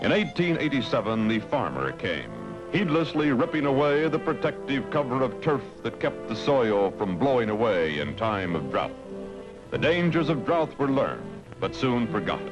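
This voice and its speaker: Over music in the background, a man speaks at a moderate pace with very wide pitch swings and very even loudness. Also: medium pitch for a man. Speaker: news narrator. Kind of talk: documentary narration.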